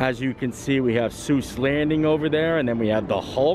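There is noticeable background noise and a dry sound with no echo. A man speaks at a moderate pace. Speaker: theme park vlogger. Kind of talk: casual vlog chat. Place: street. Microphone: phone near.

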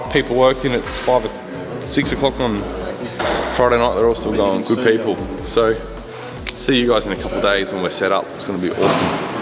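Ordinary pitch variation over clear music in the background. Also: man, fairly quick pace. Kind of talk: casual vlog chat. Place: factory.

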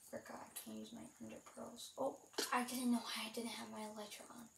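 Her voice carries audible room echo. The woman keeps to a moderate pace. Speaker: gaming youtuber. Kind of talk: gameplay commentary. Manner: halting, many fillers.

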